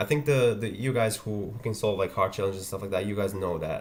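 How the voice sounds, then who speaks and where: A man with a Croatian accent talks very fast in a fairly low, somewhat breathy voice. His intonation is lively. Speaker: ethical hacking youtuber. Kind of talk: livestream tutorial.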